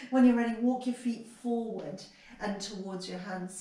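With fairly even intonation, a woman speaks in a room with audible echo. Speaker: yoga teacher. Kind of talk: guided yoga class, instructing poses and breathing. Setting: home video practice during pandemic isolation. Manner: calm, slow, soothing cueing; somewhat halting with repeated words. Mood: calm, soothing. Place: home room. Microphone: camera far.

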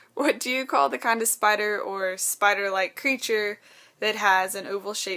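A woman with a Texan accent, bright and sharp in tone, at a moderate pace with ordinary pitch variation. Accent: Texan, Southern US. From Texas. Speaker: vlogger. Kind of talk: casual talk to camera. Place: home room. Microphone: webcam.

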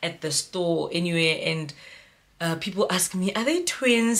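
A woman is speaking here. Her pace is moderate and her pitch variation ordinary. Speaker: mom vlogger. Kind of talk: casual vlog storytime. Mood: cheerful, animated. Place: home room. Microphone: phone near.

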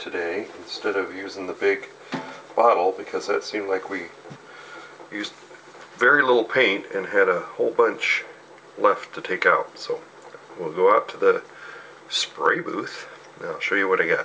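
Long, frequent pauses break up speech at a moderate pace. Noticeable background noise is audible. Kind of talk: casual tutorial narration. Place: kitchen.

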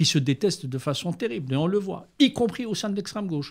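Somewhat breathy, a man's voice makes very wide pitch swings on a very clean recording with a silent background. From Algeria, Algiers. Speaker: journalist and writer. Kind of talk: interview.

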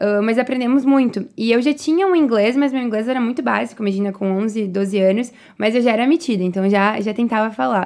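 Her pitch is fairly high, with ordinary variation, and she talks at a fairly quick pace. The woman is heard over a quiet background. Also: hardly any pauses. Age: 20s. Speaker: entrepreneur; guest. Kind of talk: interview. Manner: animated. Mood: relaxed storytelling. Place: studio. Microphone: studio mic.

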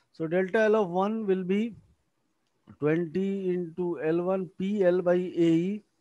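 Speaking very slowly in an Indian accent, a man uses a high pitch and a dark, mellow tone with monotone, flat intonation. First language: Hindi. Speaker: engineering lecturer. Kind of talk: lecture.

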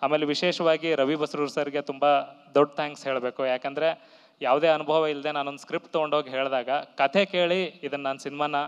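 A man's monotone, flat delivery against a quiet background. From north Karnataka (Gadag district); Karnataka. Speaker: film director. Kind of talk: stage speech. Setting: stage with audience. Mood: grateful, reflective. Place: stage. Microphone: handheld.

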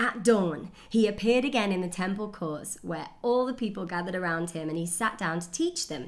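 A woman at a moderate pace with lively intonation. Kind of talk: scripture reading. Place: home room.

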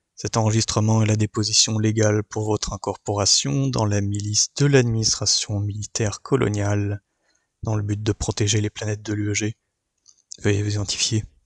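A man with a fairly low pitch speaks in a somewhat breathy voice with fairly even intonation, recorded dry and close with no echo. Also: moderate pace. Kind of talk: sci-fi audio drama, official recorded interview. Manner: formal, flat, bureaucratic.

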